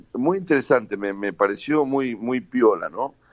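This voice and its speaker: A man with a normal speaking voice, medium pitch and ordinary pitch variation, at a moderate pace against a quiet background. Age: 60s. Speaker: inventor and civic group founder. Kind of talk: radio interview.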